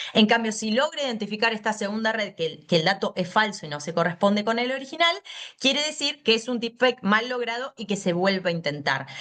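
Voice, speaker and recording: Against noticeable background noise, a woman with a Buenos Aires accent talks at a fairly quick pace with a fairly high pitch and lively intonation. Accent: porteño Argentine Spanish. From Buenos Aires, Argentina. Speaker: law lecturer. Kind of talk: lecture. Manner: fast.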